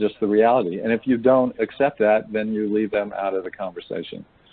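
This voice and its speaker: A man with an unremarkable speaking voice keeps his intonation fairly even. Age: 60s. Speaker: men's engagement trainer. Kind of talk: webinar discussion.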